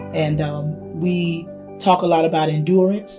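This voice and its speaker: A woman with an American accent speaks at a fairly slow pace, her intonation fairly even. Clear music plays in the background. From South Carolina. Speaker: gospel singer and teacher. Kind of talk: interview answer. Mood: warm, explanatory. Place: hall.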